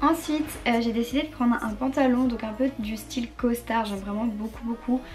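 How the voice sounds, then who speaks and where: A woman's fairly high voice with fairly even intonation at a moderate pace, over noticeable background noise. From northern France. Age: young. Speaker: fashion youtuber. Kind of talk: try-on haul.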